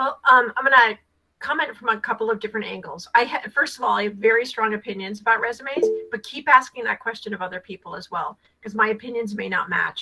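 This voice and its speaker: Here a woman with an American accent talks at a very fast pace, her pitch fairly high with ordinary variation. Her tone is bright and sharp, and her loudness swings widely. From Rhode Island, US. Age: 60s. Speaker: career coach and nonprofit co-founder. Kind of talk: video call mentorship advice. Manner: chatty.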